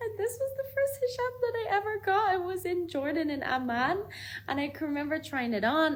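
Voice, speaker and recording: In an Irish accent, a woman talks at a moderate pace, her pitch swinging very widely. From Ireland. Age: 20s. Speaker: vlogger. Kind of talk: personal testimony. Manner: casual.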